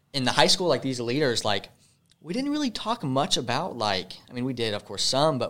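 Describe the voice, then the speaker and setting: A man speaks in a bright, sharp tone at a fairly quick pace. His pitch swings very widely. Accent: American. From US South, Charlotte, North Carolina. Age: 20s. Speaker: podcast guest. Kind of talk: casual chat.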